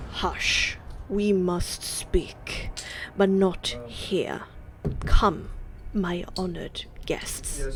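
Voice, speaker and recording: A woman whispering in a rumbling, put-on character voice, very slow and with long, frequent pauses, amid clear background noise. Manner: hushed, solemn, secretive.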